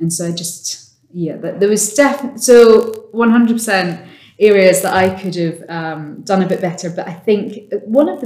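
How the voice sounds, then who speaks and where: With an ordinary speaking voice, a woman talks at medium pitch and a moderate pace, her pitch varying normally while her loudness swings widely. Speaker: sales director. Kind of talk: casual interview chat.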